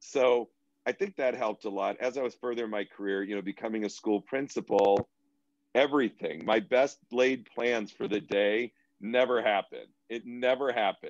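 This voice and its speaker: With an American accent, a man speaks at a moderate pace and with ordinary pitch variation, in a dry sound with no echo over a quiet background. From Boston. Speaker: educator and therapist; educator. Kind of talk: interview conversation. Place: home room. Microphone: video call.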